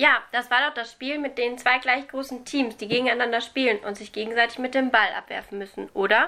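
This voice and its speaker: The voice has a bright, sharp tone and moves at a fairly quick pace. Its loudness swings widely. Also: woman, high pitch for a woman, fairly even intonation. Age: young. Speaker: student teacher podcast host. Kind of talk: scripted educational explainer.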